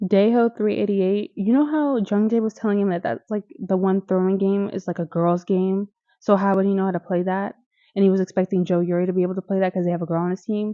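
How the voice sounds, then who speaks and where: Speaking very fast in an animated tone, a woman with an American accent holds a medium pitch. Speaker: YouTuber reviewing TV shows. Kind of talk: casual commentary video.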